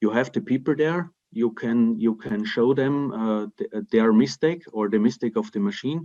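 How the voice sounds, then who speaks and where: A man with a dark, mellow tone talks at a moderate pace with lively intonation and hardly any pauses over a quiet background. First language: German (Austrian dialect). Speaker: timber construction company representative; webinar panelist. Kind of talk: webinar Q&A. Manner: halting, many repetitions and fillers. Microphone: video call.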